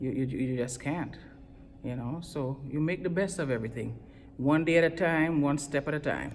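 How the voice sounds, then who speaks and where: A woman speaks in a very deep, low pitch with vocal fry. Her pace is moderate and her pitch varies an ordinary amount. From Trinidad, West Indies. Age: 50s. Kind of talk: interview answer. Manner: upbeat, enthusiastic.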